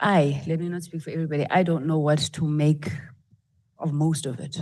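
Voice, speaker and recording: A woman speaks with a fairly low pitch and a dark, mellow tone. Her intonation stays fairly even. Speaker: parliamentary committee member. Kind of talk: parliamentary questioning. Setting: committee hearing.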